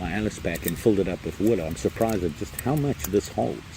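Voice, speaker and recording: A man mumbles his words. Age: old. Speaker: camping vlogger. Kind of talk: casual vlog. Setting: outdoors, campsite in rain. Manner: mumbling.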